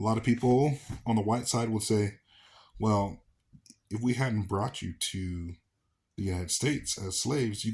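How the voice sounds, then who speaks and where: Somewhat breathy, a man speaks at a moderate pace with a fairly low pitch and ordinary pitch variation, captured in a very clean recording with a silent background. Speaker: commentary channel host. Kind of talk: casual commentary monologue.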